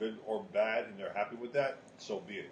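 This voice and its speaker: Noticeable background noise under a man's voice pitched in the medium range. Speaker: podcast co-host. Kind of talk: casual chat. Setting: smoke shop.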